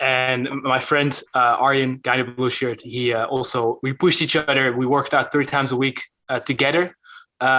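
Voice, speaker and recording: With a Dutch accent, this man talks at a moderate pace in a bright, sharp tone and a monotone, flat intonation. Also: medium pitch for a man. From Netherlands. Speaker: calisthenics YouTuber. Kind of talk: podcast interview. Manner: hesitant, many fillers.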